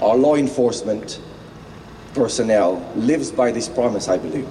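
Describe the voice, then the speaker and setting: The speaker has a non-native accent and a moderate pace. Noticeable background noise and audible room echo fill the recording. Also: man. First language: not English. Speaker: motivational speaker. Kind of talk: rally speech.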